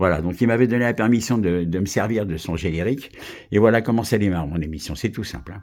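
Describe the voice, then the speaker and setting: A very fast man's voice, fairly low in pitch with ordinary pitch variation, in a very clean recording with a silent background. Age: 70s. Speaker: local radio host. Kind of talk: audition pitch for a radio station. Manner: halting, many repetitions.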